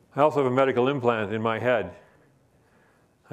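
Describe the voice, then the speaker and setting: The man talks very fast at a medium pitch, his intonation fairly even. Room echo is audible. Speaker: professor. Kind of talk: lecture.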